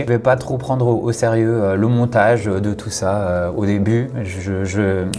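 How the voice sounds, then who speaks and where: Noticeable background noise sits under the recording. Over it, a man talks with a fairly low pitch. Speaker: content creator. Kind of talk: personal vlog monologue. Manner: hesitant, many fillers.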